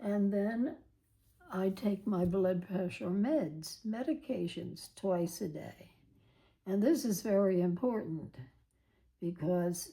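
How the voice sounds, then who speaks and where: Somewhat breathy and dark, mellow in tone, a woman speaks at a very slow pace with lively intonation. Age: 80s+. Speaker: planner video creator. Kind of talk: tutorial. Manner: halting.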